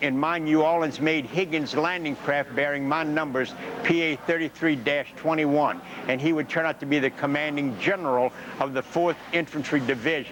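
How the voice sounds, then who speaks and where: Over noticeable background noise, a man with an American accent speaks at a moderate pace, his pitch fairly high and his intonation fairly even. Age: 70s. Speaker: war veteran. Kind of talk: interview. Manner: halting.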